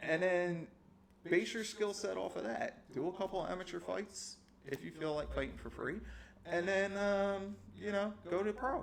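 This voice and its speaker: A man with a New Jersey accent, animated in tone, at a moderate pace. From US Northeast, South Jersey. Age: 40s. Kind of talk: casual podcast chat.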